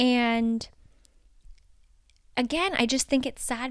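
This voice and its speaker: A woman's fairly high, animated voice on a very clean recording with a silent background. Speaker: podcast host. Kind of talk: casual solo podcast chat. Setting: home, cozy with pillows.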